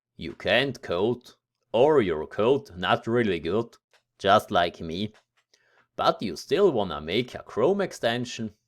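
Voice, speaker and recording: A man with a German accent and a medium-pitched voice speaks very slowly with very wide pitch swings, on a very clean recording with a silent background. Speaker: tech tutorial youtuber. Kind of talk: tutorial. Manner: casual, somewhat halting.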